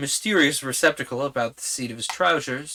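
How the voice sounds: Natural voice for reading, unadorned.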